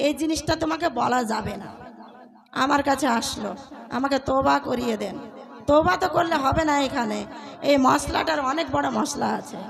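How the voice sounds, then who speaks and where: The intonation is lively. Crowd noise can be heard in the background. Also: woman, high pitch for a woman, big swings in loudness. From West Bengal, Malda (Kaliachak). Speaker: female Islamic preacher. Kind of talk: sermon. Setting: stage with audience.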